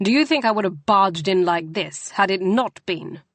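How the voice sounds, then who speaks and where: In a put-on character voice, a female-sounding speaker growls at a middle pitch and a moderate pace. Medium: read story. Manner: controlled, clipped.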